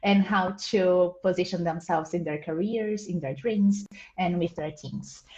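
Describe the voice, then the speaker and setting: A woman speaks at a medium pitch with a Portuguese accent and fairly even intonation. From Brazil. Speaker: program coordinator. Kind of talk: online Q&A panel.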